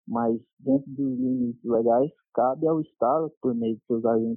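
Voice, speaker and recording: Moderately paced male speech with ordinary pitch variation and background music. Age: 30s. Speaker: police officer. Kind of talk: interview. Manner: halting.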